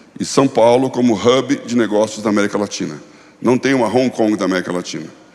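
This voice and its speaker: Noticeable background noise behind a fairly quick male voice of medium pitch, its pitch variation ordinary. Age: 60s. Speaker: pastor and former finance executive. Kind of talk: conference talk.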